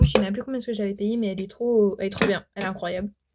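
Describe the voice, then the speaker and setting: A woman's somewhat breathy voice at a very fast pace. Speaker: beauty vlogger. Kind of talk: casual chat. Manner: animated.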